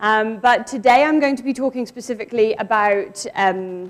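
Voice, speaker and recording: A woman talks at a fairly high pitch, and her pitch varies in an ordinary way. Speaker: academic researcher, geographer. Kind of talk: conference presentation. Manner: loud.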